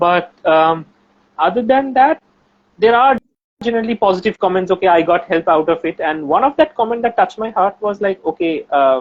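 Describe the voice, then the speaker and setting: Carrying a strong Bengali accent, a man talks at a moderate pace in a high pitch with lively intonation. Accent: Bengali accent, heavy. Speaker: researcher and science YouTuber. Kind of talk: casual chat.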